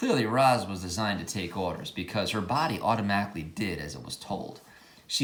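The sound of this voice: An unforced reading voice carries the text from start to finish.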